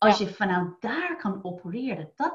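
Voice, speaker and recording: A somewhat breathy woman speaks with an American accent. Her pitch is medium and her intonation lively. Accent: American accent in Dutch. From United States. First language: English (speaking Dutch). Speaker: wealth coach. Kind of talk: interview. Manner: halting, many fillers and repeats.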